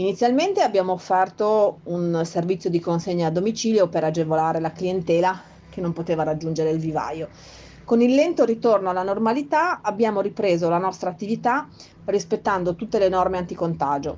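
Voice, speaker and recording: Talking at a fairly quick pace, a woman has a medium pitch, a dark, mellow tone and ordinary pitch variation. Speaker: nursery owner. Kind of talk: prepared personal statement.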